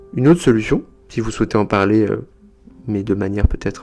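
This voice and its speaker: This man has an unremarkable speaking voice, moving fairly quickly with ordinary pitch variation. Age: 30s. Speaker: psychotherapist, podcast host. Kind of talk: informative podcast monologue.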